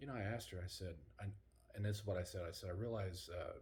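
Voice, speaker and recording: Quietly and at a very fast pace, a man talks amid noticeable background noise and audible room echo. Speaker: paranormal travel vlogger. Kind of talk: casual vlog chat. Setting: hotel room. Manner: hushed, quiet.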